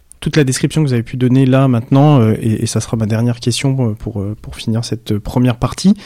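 Ordinary pitch variation runs through a voice with a dark, mellow tone. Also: man. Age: 40s. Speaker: podcast host. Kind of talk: interview.

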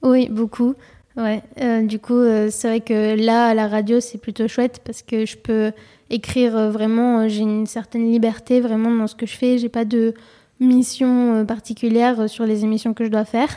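With a dark, mellow tone, a woman speaks slowly at a fairly high pitch in a monotone, flat intonation. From abroad, outside France. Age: 20s. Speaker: civic service volunteer at a youth radio. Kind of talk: casual interview. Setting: near a radio studio. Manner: hesitant, many fillers.

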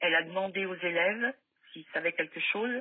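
With ordinary pitch variation, a woman's voice rests at a medium pitch. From France, Loire (Firminy, near Saint-Étienne). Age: 60s. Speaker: mother of a missing son. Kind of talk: testimony.

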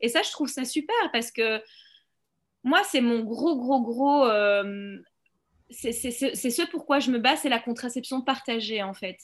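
With long, frequent pauses, a woman speaks very slowly at a high pitch with ordinary pitch variation. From Belgium. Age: 30s. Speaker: documentary filmmaker. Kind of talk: interview.

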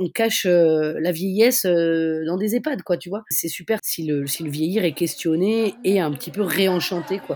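Lively in intonation, a woman speaks with a dark, mellow tone. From Brittany (Finistère). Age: 40s. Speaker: feminist activist and festival organizer. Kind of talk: casual interview. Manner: halting, many hesitations.

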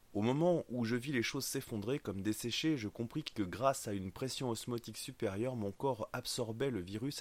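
A man talks in a normal speaking voice. His pace is moderate and his pitch varies in an ordinary way. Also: very clean recording, silent background. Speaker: audiobook narrator. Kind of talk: dramatic first-person fiction narration with character voices. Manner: tense, urgent, suspenseful, building to action.

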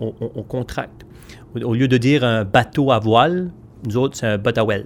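A man speaks at medium pitch. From Magdalen Islands, Quebec. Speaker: storyteller. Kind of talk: interview. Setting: event venue. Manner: halting, with repetitions.

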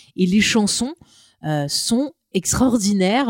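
This woman has a dark, mellow tone at a medium pitch. The sound is dry and close, with no echo. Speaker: podcast co-host. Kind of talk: casual chat. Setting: studio with portable recorder.

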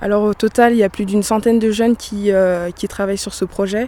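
Here is a woman with an ordinary speaking voice at medium pitch. She talks at a fairly quick pace with fairly even intonation. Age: 20s. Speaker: youth festival organizer. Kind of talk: interview.

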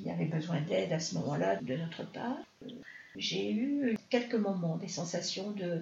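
Audible room echo surrounds a woman speaking fairly slowly in a fairly low pitch, her voice showing vocal fry and very wide pitch swings. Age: 60s. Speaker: mother of the host. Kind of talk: personal testimony in interview.

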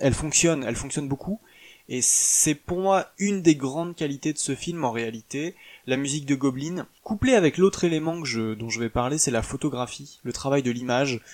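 A man at a fairly high pitch, moderate in pace, with ordinary pitch variation. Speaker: podcast host reviewing films. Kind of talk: solo podcast monologue. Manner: halting, many filler words.

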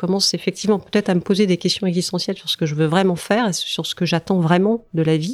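A woman speaks with a fairly low pitch and ordinary pitch variation. The sound is dry and close, with no echo. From France, Brittany. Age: 40s. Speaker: senior civil servant. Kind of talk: interview. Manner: halting, many fillers and repetitions.

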